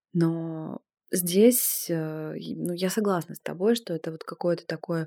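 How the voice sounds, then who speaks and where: This is a woman's voice. Her pitch sits fairly low and varies in an ordinary way. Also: dry, close sound with no echo. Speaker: screenwriter and podcast host. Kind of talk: casual chat. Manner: animated.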